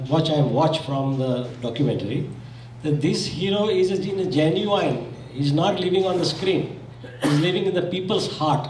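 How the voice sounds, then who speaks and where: With a Gujarati accent, a man talks at a moderate pace in a fairly high pitch and lively intonation, against noticeable background noise and audible room echo. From Zambia. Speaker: community speaker. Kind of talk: condolence speech.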